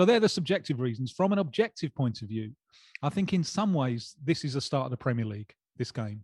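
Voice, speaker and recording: Somewhat breathy and medium in pitch, a man talks at a fairly quick pace with very wide pitch swings, in a dry, close sound with no echo and a quiet background. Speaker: football journalist. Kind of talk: casual chat.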